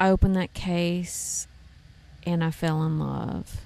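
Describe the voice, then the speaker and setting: A woman speaks with a Tennessee accent in a fairly low, flat monotone. The recording is very clean with a silent background. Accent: Southern US (Tennessee). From East Tennessee, raised partly in Texas. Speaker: bluegrass fiddler and songwriter. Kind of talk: casual interview chat. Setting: backstage at outdoor festival.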